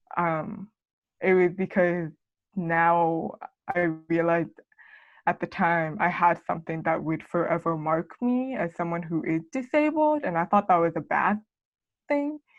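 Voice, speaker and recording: This woman speaks at a fairly slow pace with an American accent, leaving long, frequent pauses. Her pitch is fairly low, with ordinary variation. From Arizona. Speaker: college student with hearing loss. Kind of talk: casual podcast interview. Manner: casual, filler-heavy.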